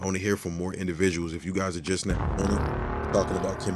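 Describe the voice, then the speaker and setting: Over background music, a man with a very deep, low voice talks at a very fast pace. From US East Coast. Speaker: podcast host. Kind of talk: casual chat. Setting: live audio chat room. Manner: animated.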